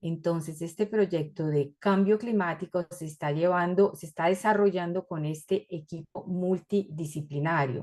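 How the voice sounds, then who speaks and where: Speaking fairly slowly with hardly any pauses, a woman has a fairly low pitch, fairly even intonation and big swings in loudness. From Colombia and Ecuador. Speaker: researcher and university lecturer. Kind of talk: academic presentation. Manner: hesitant, many fillers.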